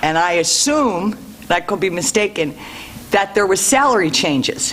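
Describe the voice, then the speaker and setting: At a moderate pace, the voice comes through over noticeable background noise. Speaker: public commenter at school board meeting. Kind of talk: public comment. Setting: meeting room with microphone. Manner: loud; forceful.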